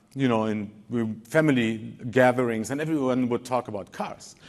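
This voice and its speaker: Speaking with a German accent, a man uses a medium pitch and ordinary pitch variation. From Germany, Wolfsburg. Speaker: design lead. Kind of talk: conference talk. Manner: halting, many repeated words.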